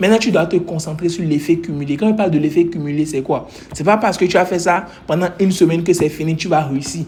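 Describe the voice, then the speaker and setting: At a very fast pace, a high-pitched man speaks in an animated tone. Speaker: trading coach. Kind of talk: motivational talk.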